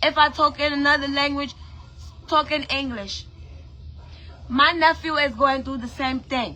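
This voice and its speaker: Raising and projecting her high, bright, sharp voice, a woman with an American accent speaks with fairly even intonation and long, frequent pauses. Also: moderate pace. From Brooklyn, New York. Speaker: musician and online personality. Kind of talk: emotional rant to camera.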